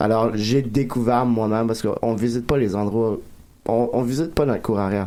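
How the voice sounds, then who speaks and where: A man with a dark, mellow tone speaks at medium pitch and a moderate pace. His loudness stays very even and his intonation fairly even. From Acadia, New Brunswick (Dieppe, Moncton). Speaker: comedian. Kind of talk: casual chat.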